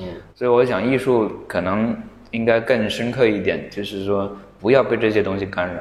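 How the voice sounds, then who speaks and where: The speech moves at a moderate pace with fairly even intonation. Background noise is noticeable. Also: man, fairly low pitch for a man. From Hunan, near Xiangtan. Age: 40s. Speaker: artist. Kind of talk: casual chat. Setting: studio.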